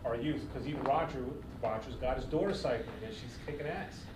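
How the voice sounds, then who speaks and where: Noticeable background noise sits behind a man whose pitch varies in an ordinary way. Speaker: podcast co-host. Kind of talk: casual chat. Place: gym.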